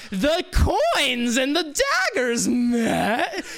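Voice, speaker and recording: A woman puts on a character voice with a high pitch. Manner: menacing, sinister.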